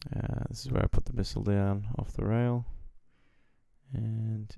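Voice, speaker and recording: Quiet and mumbling, a man with an Australian accent speaks at a moderate pace in a dry, close sound with no echo. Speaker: flight sim gamer. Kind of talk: gameplay commentary. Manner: quiet, mumbled.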